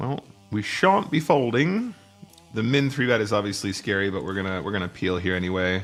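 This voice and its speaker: With faint music in the background, a man does a put-on character voice that is raspy and fairly low-pitched, with lively intonation and a fairly quick pace. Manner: slightly impaired speech.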